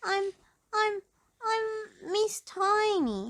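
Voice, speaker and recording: Squeaky and timid, a put-on character voice that sounds female climbs to an extremely high pitch. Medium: read story. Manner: small and timid.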